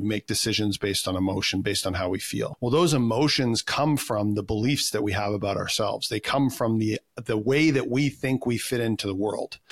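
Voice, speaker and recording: This man has a plain, everyday voice with a Canadian accent. He talks at a fairly quick pace with a medium pitch and ordinary pitch variation. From Canada. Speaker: personal development coach. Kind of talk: casual interview chat.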